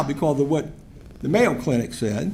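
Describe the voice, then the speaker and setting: A man with an American accent talks at a fairly quick pace with very wide pitch swings and vocal fry. Audible room echo surrounds his voice. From Virginia, Richmond. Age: 60s. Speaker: public commenter, recovery advocate. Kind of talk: public comment at council meeting.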